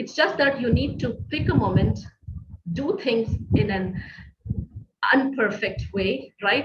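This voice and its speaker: Pausing long and often, a woman with a non-native accent speaks with lively intonation. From Middle East. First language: not English. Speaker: business coach. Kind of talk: online masterclass. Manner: hesitant, many fillers.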